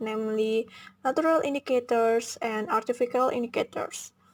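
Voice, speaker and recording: In a very clean recording with a silent background, a woman with an Indonesian accent speaks at a moderate pace. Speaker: university student. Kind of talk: class presentation video.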